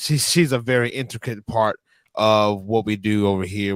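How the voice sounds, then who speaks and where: The speaker has a Louisiana accent and fairly even intonation. The recording is very clean, with a silent background and a dry, close sound with no echo. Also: man. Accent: Louisiana Southern US. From northern Louisiana. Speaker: wrestling manager. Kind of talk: interview.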